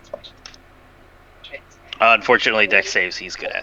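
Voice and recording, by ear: In a put-on character voice, a man speaks at a very fast pace. His voice is hoarse and sits at a medium pitch.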